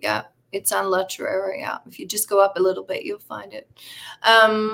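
Here a woman uses an ordinary speaking voice, talking at a moderate pace with a medium pitch. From Newfoundland, Canada. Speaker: real estate broker. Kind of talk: casual interview.

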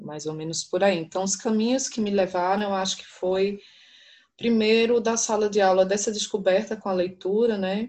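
At a moderate pace, a woman uses an ordinary speaking voice at a medium pitch with fairly even intonation. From São Paulo. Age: 40s. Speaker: university professor. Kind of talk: interview.

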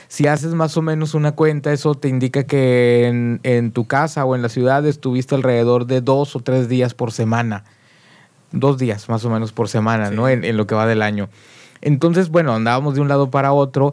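A man with a normal speaking voice talks at medium pitch and moderate pace, with ordinary pitch variation. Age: 40s. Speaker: musician. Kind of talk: casual chat. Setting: studio.

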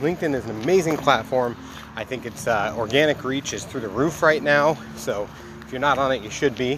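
Noticeable noise sits behind the speaker, who talks at a fairly quick pace. Pitch moves in an ordinary way while loudness swings widely. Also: man. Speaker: podcast host. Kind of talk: casual interview chat. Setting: remote call with guest. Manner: animated, enthusiastic.

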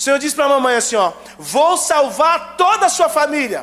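Over noticeable background noise, a man talks in an animated tone with lively intonation. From Brazil, Goiânia area (Garavelo). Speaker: guest preacher. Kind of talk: sermon. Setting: church.

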